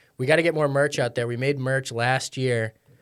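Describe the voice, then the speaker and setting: A man with an American accent and an unremarkable speaking voice, medium-pitched and fairly quick, on a very clean recording with a silent background. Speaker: sports and music podcast co-host. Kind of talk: casual interview chat.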